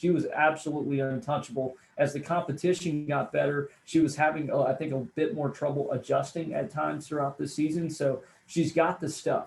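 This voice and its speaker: A plain, everyday voice from a man, fairly high-pitched, fairly quick, with fairly even intonation. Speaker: radio play-by-play announcer and sports commentator. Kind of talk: sports analysis interview answer.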